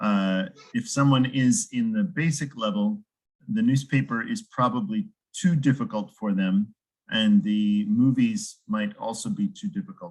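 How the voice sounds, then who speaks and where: A man with an American accent talks at a fairly slow pace, somewhat breathy, his fairly high pitch making very wide swings. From United States. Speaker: English teacher. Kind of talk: casual chat.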